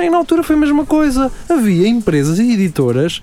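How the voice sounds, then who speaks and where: The delivery moves at a fairly quick pace with very wide pitch swings. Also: man. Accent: European Portuguese. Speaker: podcast co-host. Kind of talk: casual chat. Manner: halting.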